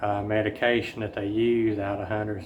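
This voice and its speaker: There is audible room echo as a man with a Southern US accent speaks at a moderate pace in a fairly low, monotone voice with flat intonation. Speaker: chronic illness vlogger. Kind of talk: personal update vlog. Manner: halting, many fillers.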